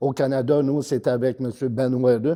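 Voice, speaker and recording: A dark, mellow tone in a Quebec accent, monotone with flat intonation. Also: man. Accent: Québécois French. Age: 60s. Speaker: bodybuilder. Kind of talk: interview. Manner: hesitant, many fillers.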